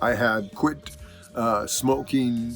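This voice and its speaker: With music playing in the background, a man talks at a medium pitch. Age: 60s. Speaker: musician. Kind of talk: casual talk to camera.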